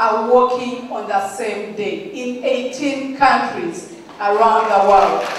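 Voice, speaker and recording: A woman speaks at a very slow pace in a high voice with ordinary pitch variation, with audible room echo and noticeable background noise. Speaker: mentoring organizer and speaker. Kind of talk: public speech. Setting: event with audience. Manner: animated.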